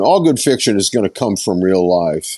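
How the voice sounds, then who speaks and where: Very wide pitch swings at a moderate pace. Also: man. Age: 70s. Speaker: songwriter and session musician. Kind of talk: interview. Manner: halting.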